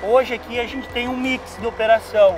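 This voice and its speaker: Over noticeable background noise, a man talks at a fairly slow pace in a flat monotone, the sound dry with no echo. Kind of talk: interview answer. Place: forest.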